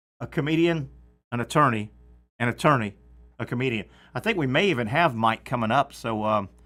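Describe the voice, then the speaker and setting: Against a silent background on a very clean recording, a man with a Southern accent talks at a fairly quick pace with long, frequent pauses, in a bright, sharp tone at medium pitch with ordinary pitch variation. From US South. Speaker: sports radio host. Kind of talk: sports talk show. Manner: casual, filler-heavy.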